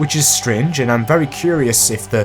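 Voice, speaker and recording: Music plays in the background. A man speaks at a moderate pace with a medium pitch. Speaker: video game commentator. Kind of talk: YouTube video essay narration.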